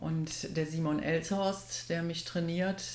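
A woman's fairly low voice at a very slow pace, with audible room echo. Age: 60s. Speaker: triathlete and office assistant. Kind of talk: casual interview.

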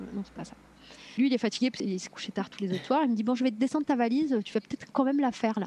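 A woman's dark, mellow, somewhat breathy voice at a very fast pace, with ordinary pitch variation and a dry, close sound with no echo. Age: 40s. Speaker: mother sharing birth story, entrepreneur. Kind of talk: testimony.

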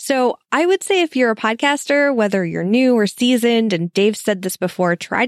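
Her fairly high pitch and lively intonation mark an unremarkable speaking voice, delivered at a fairly quick pace. The woman's recording is very clean with a silent background and a dry, close sound with no echo. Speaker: podcaster. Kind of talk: recorded listener message.

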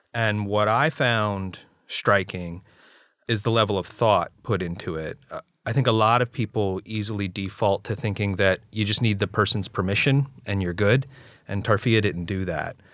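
A man speaks in an ordinary speaking voice at a moderate pace, fairly low in pitch with ordinary pitch variation. The recording is very clean, the background silent. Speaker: podcast host, ethics scholar. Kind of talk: scripted podcast narration.

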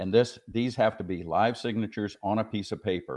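A man's fairly low voice at a moderate pace over a quiet background. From Arizona. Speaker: pro-life activist. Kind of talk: interview. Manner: hesitant, many fillers.

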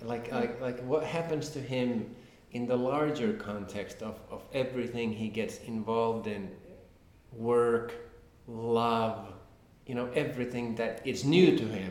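With a Finnish accent, a man speaks at medium pitch and a fairly slow pace, his intonation fairly even, with audible room echo. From Finland. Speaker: crime novelist. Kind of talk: interview. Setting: at a literary festival. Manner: halting, repetitive.

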